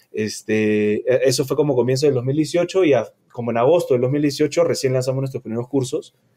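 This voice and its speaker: With ordinary pitch variation, a man talks in a dark, mellow tone. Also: medium pitch for a man, moderate pace. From Peru, Lima. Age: 30s. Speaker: entrepreneur, culinary school co-founder. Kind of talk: casual interview.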